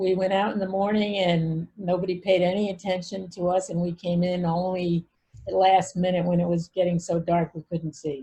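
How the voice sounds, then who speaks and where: With an American accent, a woman talks at a moderate pace in a fairly low, dark, mellow, somewhat breathy voice with monotone, flat intonation. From Brooklyn, New York and Bucks County, Pennsylvania. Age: 70s. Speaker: family therapist and author. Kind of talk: interview.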